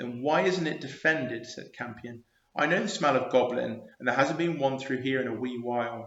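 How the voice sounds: A natural reading voice. The pitch varies in an ordinary way.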